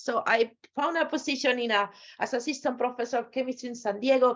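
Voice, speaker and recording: A woman with a Spanish accent, fairly high pitch, ordinary pitch variation and a fairly quick pace. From Spain. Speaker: pharmaceutical scientist, guest lecturer. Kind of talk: lecture. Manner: halting.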